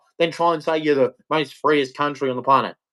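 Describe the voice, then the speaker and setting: An animated man's voice with an Australian accent. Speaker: livestreamer. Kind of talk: rant. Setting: live stream.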